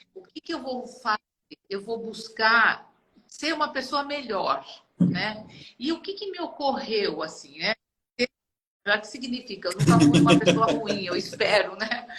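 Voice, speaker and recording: A woman's fairly high voice at a fairly slow pace, with very wide pitch swings, big swings in loudness and long, frequent pauses. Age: 70s. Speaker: retired HR director, art student. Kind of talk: interview conversation.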